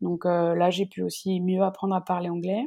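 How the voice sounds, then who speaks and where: A woman's medium-pitched voice with a dark, mellow tone, at a moderate pace, on a very clean recording with a silent background. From France, Rhône-Alpes region. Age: 30s. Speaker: tour guide and storyteller. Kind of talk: casual interview. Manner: talkative.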